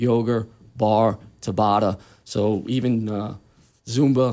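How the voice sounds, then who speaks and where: A man speaks with a New York accent in a dark, mellow tone. His intonation stays monotone and flat. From Queens, New York. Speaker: personal trainer, retired police detective. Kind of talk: casual radio interview. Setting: radio studio.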